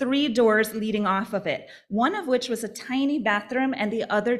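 Natural-voiced reading aloud, pitch moving in an ordinary way.

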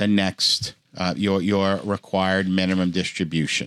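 In a very clean recording with a silent background, a man speaks in a fairly low pitch with a dry, close sound and no echo. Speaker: tax professional podcast host. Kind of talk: educational podcast discussion.

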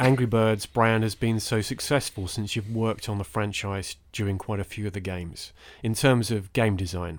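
Captured in a very clean recording with a silent background, a man with a normal speaking voice and medium pitch talks at a moderate pace. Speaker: podcast host. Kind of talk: interviewer, casual. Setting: studio.

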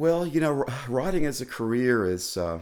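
A man with a Southern US accent at a moderate pace, in a very clean recording with a silent background. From Tennessee, Clarksville. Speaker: music journalist. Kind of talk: casual interview. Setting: studio.

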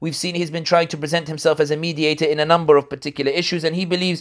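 A man's high voice in a London accent, with fairly even intonation. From London, England. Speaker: political analyst and commentator. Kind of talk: interview.

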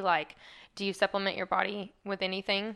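Over a quiet background, a woman speaks in a bright, sharp tone with a Southern US accent. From US South. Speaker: podcast host. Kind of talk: casual interview.

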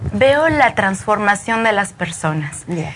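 Noticeable background noise sits under the recording. Over it, a woman speaks at a fairly high pitch. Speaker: Reiki practitioner. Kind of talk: explanatory interview. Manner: eloquent.

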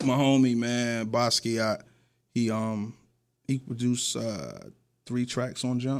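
A man's medium-pitched voice, fairly slow, with long, frequent pauses and fairly even intonation, on a very clean recording with a silent background. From New York. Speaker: rapper and radio host. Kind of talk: casual interview.

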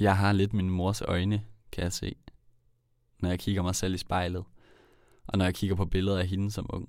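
With long, frequent pauses, a man speaks in a very deep, low pitch and a monotone, flat intonation. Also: moderate pace. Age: 20s. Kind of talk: personal narration.

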